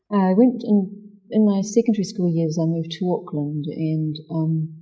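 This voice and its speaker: A woman's fairly low, somewhat breathy voice in a dark, mellow tone, at a moderate pace with ordinary pitch variation. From New Zealand. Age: 60s. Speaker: spiritual practitioner. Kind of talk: interview.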